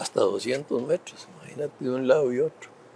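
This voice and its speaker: Over noticeable background noise, a man with a fairly high pitch speaks in a Costa Rican accent. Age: 80s+. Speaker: former government minister and politician. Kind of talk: interview. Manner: halting, many fillers.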